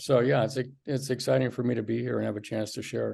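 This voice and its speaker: With a dark, mellow tone and some vocal fry, a man talks at a fairly quick pace, his medium pitch showing ordinary variation. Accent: American. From Michigan. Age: 60s. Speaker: physician. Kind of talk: interview, life story. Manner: hesitant with fillers.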